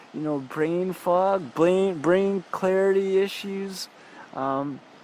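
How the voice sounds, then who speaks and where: A man with a Canadian accent, high-pitched with ordinary pitch variation, fairly slow, over noticeable background noise. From Saskatchewan, Canada. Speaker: spiritual video creator. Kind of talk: personal testimony. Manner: halting, many restarts and fillers.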